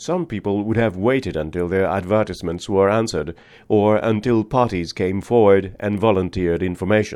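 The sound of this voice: The speaker uses an unforced reading voice. It stays an unforced reading voice throughout.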